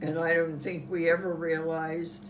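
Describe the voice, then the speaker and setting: A woman with a Western Pennsylvania accent over noticeable background noise. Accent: Western Pennsylvania American. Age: 80s+. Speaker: World War Two era witness. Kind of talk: interview answer.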